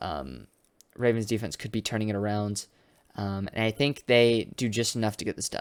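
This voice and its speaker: The recording is very clean, with a silent background. A man talks at a moderate pace with a fairly low pitch. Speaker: sports YouTuber. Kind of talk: casual prediction commentary. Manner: halting with many fillers.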